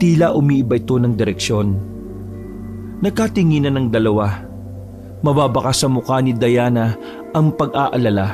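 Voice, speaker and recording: With music playing in the background, the man's intonation is lively. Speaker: voice actor. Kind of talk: horror story narration.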